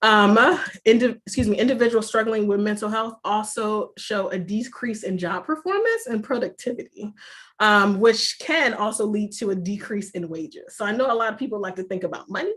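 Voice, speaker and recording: A woman speaks at a fairly quick pace with a fairly high pitch and ordinary pitch variation. It is an unremarkable speaking voice. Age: 30s. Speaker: mental health professional. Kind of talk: seminar talk.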